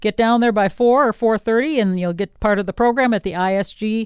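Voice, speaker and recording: An unremarkable speaking voice with an American accent moves at a fairly quick pace, the sound dry and close with no echo over a quiet background. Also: woman. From Wisconsin. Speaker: radio host. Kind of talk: radio interview.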